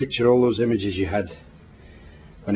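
The speaker has a Scottish accent and a fairly quick pace. Pitch varies in an ordinary way. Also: man. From Scotland. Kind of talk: comforting words spoken to camera. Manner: warm, reassuring.

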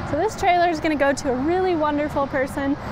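A woman with a high pitch speaks at a fairly quick pace with fairly even intonation, the sound dry with no echo amid noticeable background noise. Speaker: presenter. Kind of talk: live product walkaround presentation. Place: street.

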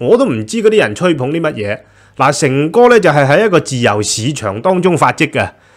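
A man with a Hong Kong accent and vocal fry, at a fairly quick pace with very wide pitch swings, over a quiet background. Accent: Hong Kong Cantonese. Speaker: news commentary host. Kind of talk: solo news commentary; news commentary. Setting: studio with green screen. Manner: casual, many filler sounds. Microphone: studio mic.

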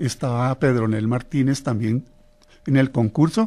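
A man's dark, mellow tone at medium pitch and a fairly slow pace. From Colombia, Norte de Santander. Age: 70s. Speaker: tiple musician. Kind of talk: interview. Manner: halting.

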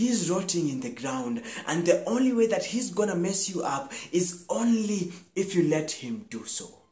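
Audible room echo surrounds a man's voice. He speaks at a moderate pace. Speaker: actor performing a scene. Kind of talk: dramatic monologue performance. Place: home room. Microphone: lapel.

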